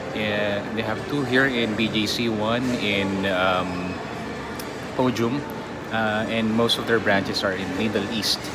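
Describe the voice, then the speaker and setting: Loud background noise surrounds this recording. A man talks at a fairly slow pace. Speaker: travel vlogger. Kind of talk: casual vlog chat. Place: cafe. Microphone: phone near.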